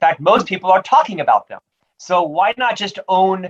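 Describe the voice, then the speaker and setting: In an American accent, a man talks at a fairly quick pace with a high pitch and lively intonation. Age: 50s. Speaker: author and podcast host. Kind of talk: interview. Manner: stutter.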